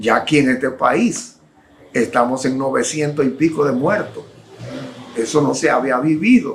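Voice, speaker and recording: The speech moves at a fairly slow pace with long, frequent pauses. Audible room echo surrounds the voice. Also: man, fairly high pitch for a man, ordinary pitch variation. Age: 60s. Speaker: preacher. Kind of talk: sermon.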